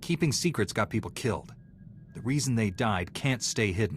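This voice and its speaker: A man puts on a growling character voice at a medium pitch. He speaks at a moderate pace. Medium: video game.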